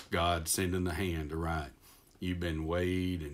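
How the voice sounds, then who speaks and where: A man with a very deep, low pitch speaks at a fairly quick pace in a monotone, flat intonation. Audible room echo surrounds the voice. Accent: Texas. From Texas. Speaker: preacher. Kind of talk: devotional talk. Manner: halting, self-correcting.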